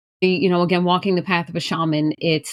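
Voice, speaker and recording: A woman with a strong New York accent speaks at fairly low pitch with monotone, flat intonation. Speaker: shaman and spiritual practitioner. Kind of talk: podcast self-introduction.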